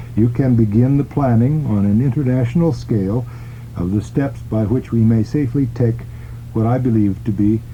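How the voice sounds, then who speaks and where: A man with a medium pitch and ordinary pitch variation talks at a moderate pace amid noticeable background noise. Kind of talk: radio reading of an open letter.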